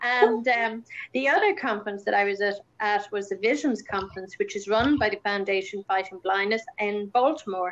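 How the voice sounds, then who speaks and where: A woman with a fairly high pitch and ordinary pitch variation talks at a moderate pace. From Ireland. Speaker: campaigner and speaker on Usher syndrome. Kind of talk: casual chat.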